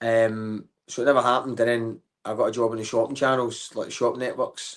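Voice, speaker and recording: A man speaks at medium pitch with a Glaswegian accent. The background is quiet. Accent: Glaswegian Scottish. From Scotland, Glasgow. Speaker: comedian. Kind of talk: casual chat. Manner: animated.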